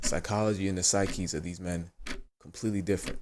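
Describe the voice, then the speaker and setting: The recording is very clean, with a silent background. A man with a very deep, low pitch talks at a very fast pace. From US, child of Ghanaian immigrants. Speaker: commentary video host. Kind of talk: video commentary monologue. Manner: casual, many filler words.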